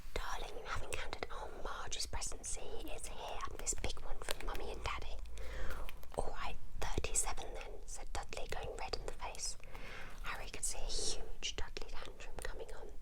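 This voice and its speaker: A soft-spoken whisper moves at a moderate pace over noticeable background noise. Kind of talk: whispered ASMR book reading. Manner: whispered, soft.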